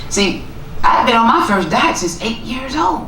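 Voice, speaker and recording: A woman talks at a moderate pace, with audible room echo and noticeable background noise around her. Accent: Southern US. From US South, Tennessee (small town). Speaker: author and motivational speaker. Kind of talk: keynote talk.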